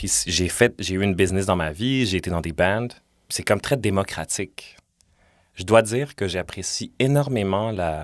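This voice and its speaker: Using a normal speaking voice, a man talks at a moderate speed with ordinary pitch movement, and the recording is very clean with a silent background. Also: fairly low pitch for a man. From Montreal, Quebec (Villeray). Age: 30s. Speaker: podcaster and musician. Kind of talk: casual interview chat. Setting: studio.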